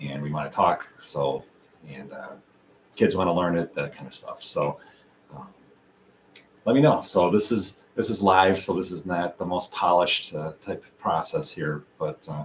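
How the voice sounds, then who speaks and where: The speaker has an American accent and talks at a moderate pace with ordinary pitch variation, long, frequent pauses and big swings in loudness. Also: man, very deep, low pitch for a man. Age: 50s. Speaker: language learning YouTuber. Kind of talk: casual live video talk. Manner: hesitant, many fillers.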